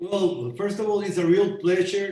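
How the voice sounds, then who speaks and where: A man is heard with audible room echo. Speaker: boxing promoter. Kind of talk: interview. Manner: halting.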